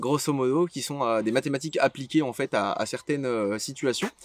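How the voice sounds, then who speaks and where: At a moderate pace, a man speaks with a fairly high pitch. The recording is very clean with a silent background, and the sound is dry and close with no echo. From western France, Anjou near Angers. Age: 20s. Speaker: fishing YouTuber. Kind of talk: casual Q&A monologue. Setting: outdoors by the water. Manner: hesitant, many filler sounds; relaxed.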